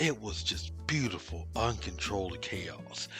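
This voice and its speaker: A man keeps a moderate pace and ordinary pitch variation while music plays in the background. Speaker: commentary YouTuber. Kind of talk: scripted commentary narration. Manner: sarcastic, humorous.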